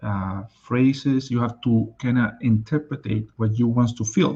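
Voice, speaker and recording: A somewhat breathy man with a Spanish accent and a dark, mellow tone, at a moderate pace. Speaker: life and business coach. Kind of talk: live stream talk.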